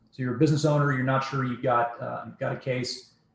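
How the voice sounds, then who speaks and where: A somewhat breathy man talks with fairly even intonation. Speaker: podcast host. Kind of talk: podcast interview. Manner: fast.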